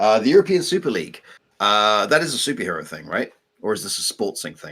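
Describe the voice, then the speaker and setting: Very fast and fairly low-pitched, a man speaks in an English accent. His voice shows very wide pitch swings and big swings in loudness. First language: French. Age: 40s. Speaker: co-host of game development live stream, English teacher. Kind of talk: casual live stream chat. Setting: live stream.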